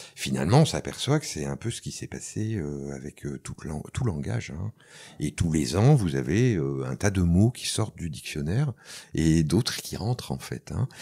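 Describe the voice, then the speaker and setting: A man's very deep, low voice carries vocal fry and a dark, mellow tone, swinging very widely in pitch at a fairly slow pace. The recording is very clean, with a silent background. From France. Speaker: soundpainting teacher and recorder player. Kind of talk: interview. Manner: hesitant, many fillers.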